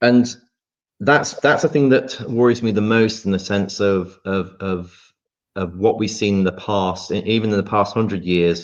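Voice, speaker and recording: A man's fairly low voice moves at a fairly slow pace. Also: ordinary pitch variation. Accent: English. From England. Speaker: podcast co-host. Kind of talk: casual discussion. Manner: halting, many repeated words.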